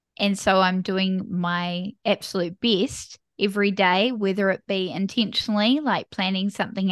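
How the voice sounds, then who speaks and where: A woman with a New Zealand accent speaks at a moderate pace and medium pitch. The sound is dry and close with no echo, over a quiet background. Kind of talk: casual interview chat.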